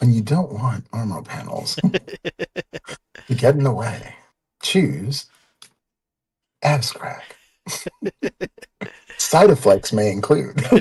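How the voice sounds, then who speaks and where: A man's put-on character voice at a medium pitch, lively intonation, a very slow pace with long, frequent pauses, and a dry, close sound with no echo. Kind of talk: advertising read. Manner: smooth, salesy.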